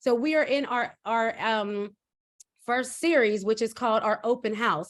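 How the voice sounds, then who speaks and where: Against a silent background in a very clean recording, a woman speaks with a fairly high pitch, an animated tone and ordinary pitch variation. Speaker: educational consultant and show host. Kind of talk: live-stream introduction. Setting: live stream. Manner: fast.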